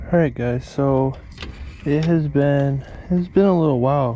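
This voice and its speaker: At a moderate pace, a man talks with an unremarkable speaking voice and ordinary pitch variation. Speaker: fishing vlogger. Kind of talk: casual vlog narration. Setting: outdoors in a boat at night.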